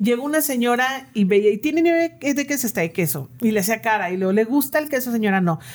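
A woman's fairly high voice at a very fast pace, with lively intonation, very even loudness and hardly any pauses. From northern Mexico, Comarca Lagunera. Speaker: ice cream business owner and language teacher. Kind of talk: casual interview.

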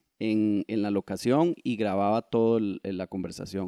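A man talks at a medium pitch with a dark, mellow tone. The sound is dry and close with no echo, in a very clean recording over a silent background. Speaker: photographer and author. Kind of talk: interview conversation.

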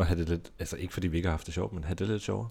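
A somewhat breathy voice with a dark, mellow tone, in a very clean recording with a silent background. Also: man. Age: 30s. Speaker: podcast co-host. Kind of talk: casual chat. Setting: studio.

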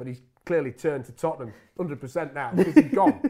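With an East Midlands accent, a man speaks at a very fast pace. His pitch is fairly high. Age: 40s. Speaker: football commentator. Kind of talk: casual interview.

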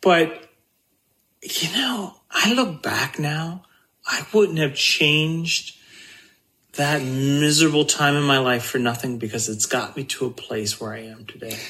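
A man with an American accent speaks in a normal speaking voice at a fairly slow pace. His pitch is fairly high, and his intonation is lively. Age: 50s. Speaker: guest sharing life story. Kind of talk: personal testimony.

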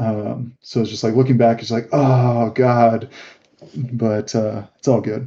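Very slowly, a man speaks with an American accent. His medium-pitched voice is monotone and flat. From Northern California, Bay Area near Oakland. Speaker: crypto gaming community member. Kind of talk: casual chat. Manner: halting, many fillers.

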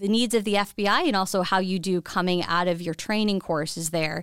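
A woman with an unremarkable speaking voice talks at a medium pitch and a moderate pace with fairly even intonation, in a very clean recording with a silent background. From New York suburbs (Westchester County). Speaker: federal agency recruiting chief. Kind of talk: interview.

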